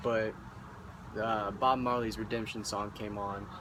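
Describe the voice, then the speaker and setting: A man speaks at a medium pitch with a Midwestern American accent. His delivery is monotone and flat, at a moderate pace. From Indianapolis, Indiana. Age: 20s. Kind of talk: casual talk to camera.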